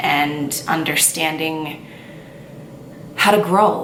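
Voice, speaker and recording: Fairly low in pitch, a woman speaks with ordinary pitch variation. Audible room echo and noticeable background noise surround her. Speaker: lifestyle vlogger. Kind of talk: casual chat. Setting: on camera, home video. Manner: stuttering at times.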